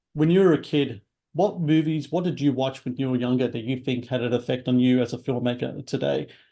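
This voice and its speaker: A man's medium-pitched voice, with ordinary pitch variation, moves along at a fairly quick pace. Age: 40s. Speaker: talk show host. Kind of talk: interview. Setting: video call. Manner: halting, many fillers.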